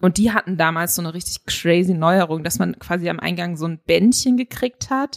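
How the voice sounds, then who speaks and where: In an unremarkable speaking voice, the speaker goes at a moderate pace with hardly any pauses and lively intonation, in a dry, close sound with no echo. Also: woman, fairly low pitch for a woman. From Upper Franconia, Bayreuth area. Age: 30s. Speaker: journalist. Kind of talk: casual interview.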